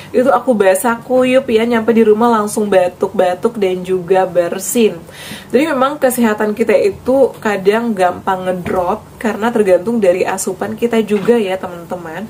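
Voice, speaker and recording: Against noticeable background noise, a woman with a fairly high voice and ordinary pitch variation speaks with hardly any pauses. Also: moderate pace. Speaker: health vlogger. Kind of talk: vlog advice talk.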